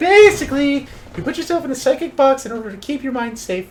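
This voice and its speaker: A man's put-on character voice, extremely high-pitched and very fast. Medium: virtual streamer. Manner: blunt, animated.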